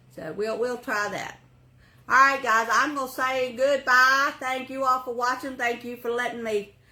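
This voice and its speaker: This woman has a high-pitched voice with a bright, sharp tone. Her pitch varies in an ordinary way, and she speaks with an Appalachian accent. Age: 60s. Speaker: craft YouTuber. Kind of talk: casual vlog chat. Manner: chatty, rambling casual delivery.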